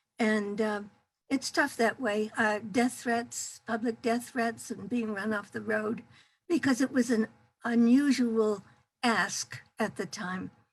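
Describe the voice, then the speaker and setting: Speaking at a very slow pace, a woman with a fairly high pitch sounds somewhat breathy and keeps a fairly even intonation. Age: 80s+. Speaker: activist. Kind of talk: testimony. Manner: halting.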